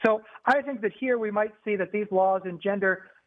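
The voice has a US Midwestern accent. Its pitch varies in an ordinary way. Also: man. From northern Indiana, US. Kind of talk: panel discussion.

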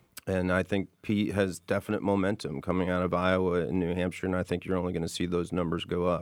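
Very deep and low, a man's voice runs at a very fast pace with hardly any pauses in a monotone, flat delivery, on a very clean recording with a silent background. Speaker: state legislator. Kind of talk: political panel discussion. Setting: studio.

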